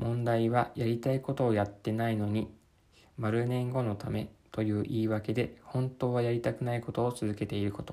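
Speaking at a moderate pace, a man keeps a medium pitch and a monotone, flat intonation. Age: 30s. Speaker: podcaster. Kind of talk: reading aloud. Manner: halting.

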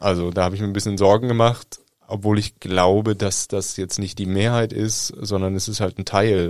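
This man talks at a moderate pace in a fairly low, flat, monotone voice, recorded very cleanly against a silent background. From Germany. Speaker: journalist. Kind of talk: casual chat.

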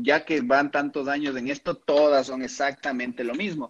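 A man speaks in a fairly high voice with ordinary pitch variation. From Ecuador, Pichincha (Quito area). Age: 20s. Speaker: supplement expert and fitness competitor. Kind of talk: interview.

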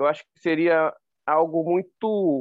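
An ordinary speaking voice from a man, fairly high in pitch with ordinary pitch variation. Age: 40s. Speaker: ultramarathon runner. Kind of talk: interview.

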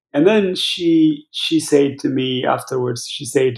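A man's fairly high, somewhat breathy voice at a fairly slow pace, with ordinary pitch variation. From Ethiopia. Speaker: pastor and charity director. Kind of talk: interview. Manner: halting, many fillers.

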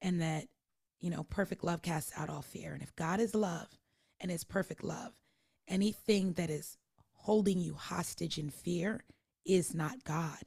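The voice is somewhat breathy, moving at a fairly slow pace with long, frequent pauses and ordinary pitch variation. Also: woman, fairly low pitch for a woman. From Alaska, Anchorage. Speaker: entrepreneur and spiritual life coach. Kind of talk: casual chat.

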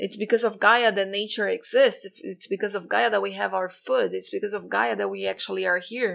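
A woman is speaking. She has a Portuguese accent. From Brazil. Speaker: spiritual coach and podcaster. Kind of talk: spiritual talk.

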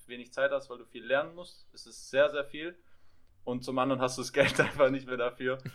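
A man with an unremarkable speaking voice talks at a fairly quick pace, his medium pitch carried in fairly even intonation. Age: 20s. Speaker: physiotherapy trainee and podcaster. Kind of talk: casual chat.

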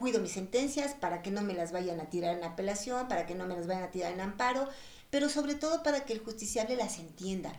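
Very wide pitch swings at a fairly quick pace, with noticeable background noise and audible room echo. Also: woman. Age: 60s. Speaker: family court judge. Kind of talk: interview.

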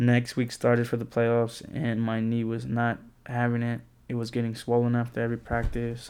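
In an American accent, a man speaks at a moderate pace in a medium-pitched, monotone voice with flat intonation. The recording is very clean, with a silent background. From San Antonio, Texas. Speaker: podcast host, college student. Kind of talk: casual personal monologue. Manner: casual, filler-heavy.

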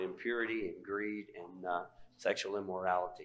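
A normal speaking voice from a man, fairly low in pitch, fairly even in intonation and moderate in pace. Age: 60s. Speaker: pastor. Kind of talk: sermon.

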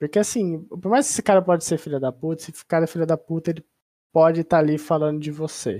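Very fast speech comes from a woman with a fairly low pitch and a dark, mellow tone, using ordinary pitch variation. The recording is very clean, with a silent background. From São Paulo state interior, Ribeirão Preto. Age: 20s. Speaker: esports analyst. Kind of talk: casual interview chat.

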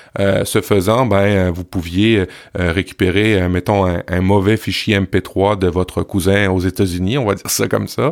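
The recording is very clean, with a silent background. The speaker goes at a fairly slow pace with fairly even intonation. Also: man, very deep, low pitch for a man. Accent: Quebec. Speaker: podcast creator. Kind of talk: casual podcast chat.

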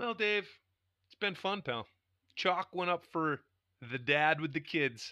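Lively intonation and big swings in loudness mark this bright, sharp voice, which comes with long, frequent pauses in a dry, close sound with no echo on a very clean recording with a silent background. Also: man, fairly high pitch for a man. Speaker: podcast co-host. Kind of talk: casual banter. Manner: joking, profane.

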